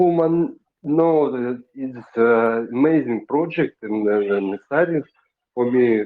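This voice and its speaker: A man with a Russian accent speaks at a very slow pace. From Russia, Siberia. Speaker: audience member asking questions. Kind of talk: audience question. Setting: group voice chat on a messaging app. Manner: halting.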